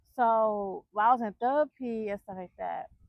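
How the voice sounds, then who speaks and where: A woman at a fairly high pitch, with ordinary pitch variation and a fairly slow pace. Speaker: vlogger. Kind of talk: casual chat. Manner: slow, takes time to speak.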